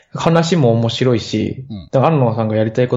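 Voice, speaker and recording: This man's voice is somewhat breathy. He uses ordinary pitch variation. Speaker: podcast listener and band musician. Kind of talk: casual chat.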